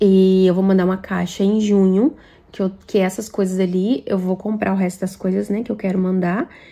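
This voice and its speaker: Her tone dark and mellow, a woman speaks at medium pitch and a moderate pace with fairly even intonation. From Brazil. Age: 20s. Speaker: vlogger. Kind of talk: Q&A vlog answering viewer questions. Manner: casual, chatty. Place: home room. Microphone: phone near.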